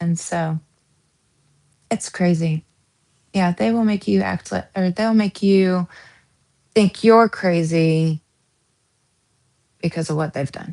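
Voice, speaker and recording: A woman with an American accent, fairly low in pitch and dark, mellow in tone, with ordinary pitch variation, a very slow pace, long, frequent pauses and a dry, close sound with no echo. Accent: Southern US accent, shows at times. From US South. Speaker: true crime streamer. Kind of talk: live stream chat. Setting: live stream at home. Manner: casual, rambling with self-corrections.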